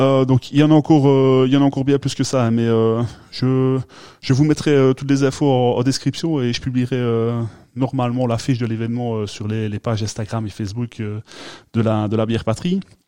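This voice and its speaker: The speaker is a man with a medium pitch and fairly even intonation. He talks at a moderate pace against a quiet background. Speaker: beer podcast host. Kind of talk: casual chat.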